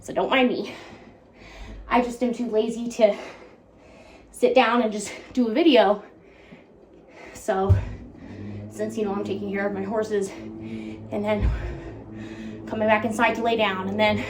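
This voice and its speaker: Long, frequent pauses break up the speech. Background noise is noticeable, and there is audible room echo. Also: woman, moderate pace. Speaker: YouTuber, horse owner. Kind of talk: casual vlog monologue. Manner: informal, chatty.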